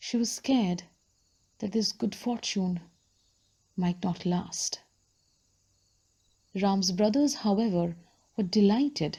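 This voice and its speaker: A woman's somewhat breathy voice, medium in pitch, with a dark, mellow tone, a very slow pace, and long, frequent pauses. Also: ordinary pitch variation. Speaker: book vlogger / audiobook storyteller. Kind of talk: storytelling reading of a book, narrated.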